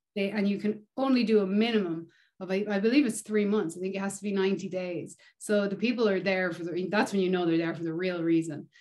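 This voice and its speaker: In an Irish accent, the speaker moves at a fairly quick pace with fairly even intonation. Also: woman, medium pitch for a woman. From Ireland. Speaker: touring bass player. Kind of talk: casual interview chat. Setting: video call. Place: home room. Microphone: video call.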